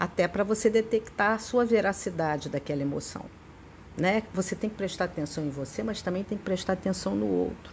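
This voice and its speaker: Her voice is a plain, everyday voice, a woman's at a medium pitch with lively intonation. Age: 60s. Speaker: psychotherapist teaching a spiritist study. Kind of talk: lecture.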